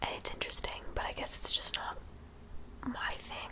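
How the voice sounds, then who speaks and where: A woman whispers at a fairly quick pace in a relaxed tone. Noticeable background noise sits behind her. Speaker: college student. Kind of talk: casual talk to camera. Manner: soft-spoken, whispery, relaxed.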